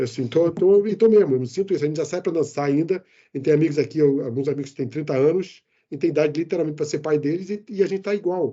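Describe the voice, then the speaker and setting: Very fast delivery with hardly any pauses and ordinary pitch variation. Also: man, fairly high pitch for a man. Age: 60s. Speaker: IT manager and expat. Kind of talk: interview. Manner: animated.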